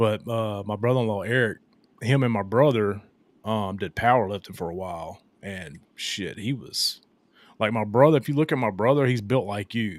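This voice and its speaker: This man has an unremarkable speaking voice, fairly low in pitch with ordinary pitch variation, delivered at a moderate pace on a very clean recording with a silent background. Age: 40s. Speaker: podcast host. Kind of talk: casual chat.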